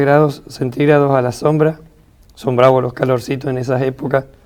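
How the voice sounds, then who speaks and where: A man talks in an unremarkable speaking voice at a fairly high pitch. He holds a moderate pace with fairly even intonation. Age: 60s. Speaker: retired biochemist and author. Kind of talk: reading aloud; interview.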